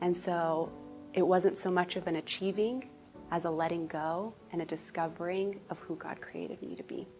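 Over clear music in the background, a woman speaks at a moderate pace in a fairly low voice with fairly even intonation. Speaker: church member. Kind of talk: personal testimony. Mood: earnest, reflective, warm. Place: studio. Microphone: lapel.

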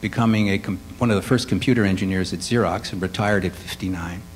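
A man uses an ordinary speaking voice with an American accent, fairly low in pitch with ordinary pitch variation. He talks at a fairly quick pace over light background noise. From Chicago, west side. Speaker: composer and musician; panelist. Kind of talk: panel discussion. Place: hall.

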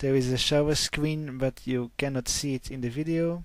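A man's fairly high, monotone voice with flat intonation, dry with no echo, over a quiet background. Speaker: vlogger. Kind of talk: casual vlog talk to camera. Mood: friendly, upbeat.

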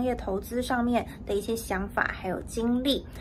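This woman talks at a moderate pace with fairly even intonation and a fairly high pitch, over light background noise. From Taiwan. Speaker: news reporter. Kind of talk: news report. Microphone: phone near.

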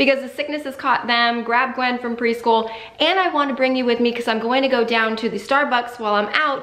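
A woman talks at a fairly quick pace with a high pitch. Her intonation is fairly even, and audible room echo is present. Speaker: family lifestyle vlogger. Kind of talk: casual vlog chat. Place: home room.

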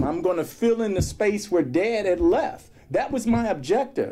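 A man at a moderate pace, his pitch swinging very widely. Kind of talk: personal storytelling talk. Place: office. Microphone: podium.

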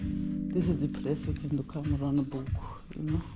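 A woman's low voice at a slow pace, dark and mellow in tone, with faint music in the background

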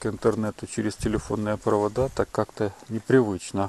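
A man with a fairly low voice talks at a moderate pace, his intonation fairly even. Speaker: video blogger. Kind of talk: casual monologue vlog. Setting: outdoors at night.

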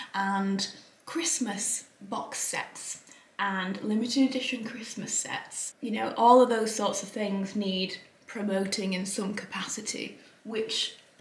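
A woman at a very slow pace, with ordinary pitch variation and audible room echo. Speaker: beauty vlogger. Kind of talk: casual vlog chat. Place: home room. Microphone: camera far.

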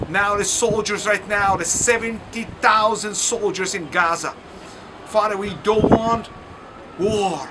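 A man's raised, projected voice, high in pitch, at a very slow pace over noticeable background noise. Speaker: pastor. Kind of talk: fervent prayer, impassioned intercession. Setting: outdoors or on location video message from Lyon, France. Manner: urgent, pleading, earnest; halting, non-fluent English.

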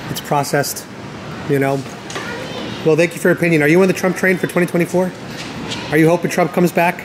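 A man talks at a fairly quick pace in a high, monotone, flat voice. His speech has long, frequent pauses over noticeable background noise. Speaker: YouTuber doing street interviews. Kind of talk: street interviews. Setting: outdoors. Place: street. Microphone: phone near.

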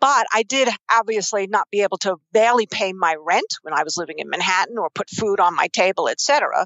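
A woman speaks at a fairly quick pace with a New York accent. Her pitch is medium. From New York, Queens. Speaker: investing expert and author. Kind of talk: interview.

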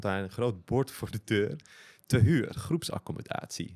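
Speaking at a fairly slow pace, a man has a plain, everyday voice on a very clean recording with a silent background. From Netherlands, Amsterdam. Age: 40s. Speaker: tantra and consciousness coach. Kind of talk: casual chat.

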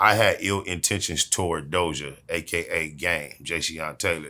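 Very deep and low, a man's voice has a bright, sharp tone and fairly even intonation. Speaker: interviewee. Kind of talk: interview answer. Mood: dismissive, sarcastic storytelling. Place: home room.

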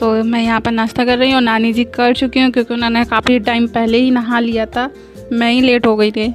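The speech comes at a moderate pace in a monotone, flat intonation with very even loudness, while faint music plays in the background. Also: woman. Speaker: home vlogger. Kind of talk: casual vlog chat.

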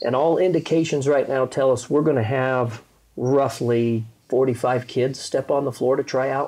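With an American accent, a man speaks at medium pitch in a dark, mellow tone. His intonation is fairly even and his loudness very even. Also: moderate pace. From Colorado. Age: 50s. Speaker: basketball coach. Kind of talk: casual chat. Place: home room. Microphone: lapel.

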